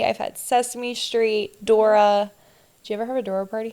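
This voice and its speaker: In an American accent, a woman with a fairly high pitch talks at a moderate pace in an unremarkable speaking voice. The recording is very clean, with a silent background. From New Jersey, near Philadelphia. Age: 20s. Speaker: podcast co-host. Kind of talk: casual chat.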